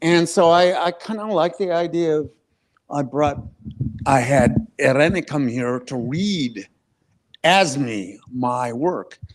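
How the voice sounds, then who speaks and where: With lively intonation and a fairly high pitch, a man talks at a very slow pace, leaving long, frequent pauses. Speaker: writer. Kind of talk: casual chat. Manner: slurs some words; halting.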